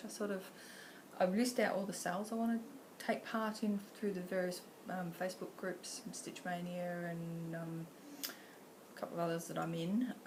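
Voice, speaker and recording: In an Australian accent, a woman talks at a moderate pace and medium pitch with ordinary pitch variation, and the room echo is audible. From Western Australia (Pilbara). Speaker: cross-stitch vlogger. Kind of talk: casual vlog talk. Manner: casual, with many fillers.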